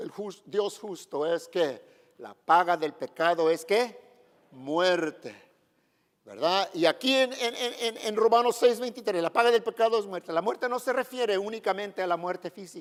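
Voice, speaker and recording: The intonation is lively and the loudness swings a lot. The pace is fairly slow. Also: man, high pitch for a man. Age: 70s. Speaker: pastor. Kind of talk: sermon.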